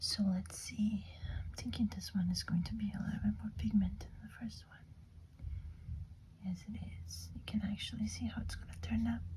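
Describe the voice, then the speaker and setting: Long, frequent pauses break up whispering at a moderate pace. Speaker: ASMR creator. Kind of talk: ASMR nail polish haul and manicure. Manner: whispered.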